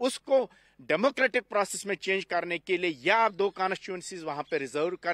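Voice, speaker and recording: Over a quiet background, a man talks at a moderate pace in a high pitch with a bright, sharp tone. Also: dry sound with no echo. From Kashmir, Anantnag district; Kashmir. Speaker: Kashmiri Pandit community representative; interviewee. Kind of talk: panel discussion. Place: garden. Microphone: handheld.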